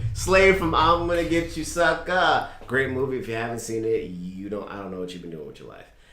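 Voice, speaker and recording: Very wide pitch swings at a fairly quick pace against noticeable background noise. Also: man, medium pitch for a man, hardly any pauses. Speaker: wrestling podcast co-host. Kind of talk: casual chat. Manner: animated.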